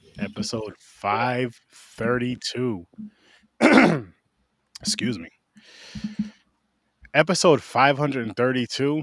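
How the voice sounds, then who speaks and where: A man speaks at a very slow pace with long, frequent pauses. His medium-pitched voice carries lively intonation. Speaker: horror podcast host. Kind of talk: casual podcast talk.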